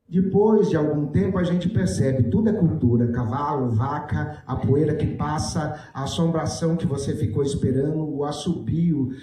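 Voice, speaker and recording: A man at a fairly slow pace with ordinary pitch variation, audible room echo, and noticeable background noise. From Brazil, Mato Grosso do Sul (Jardim). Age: 60s. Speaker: writer. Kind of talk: panel talk. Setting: stage with audience.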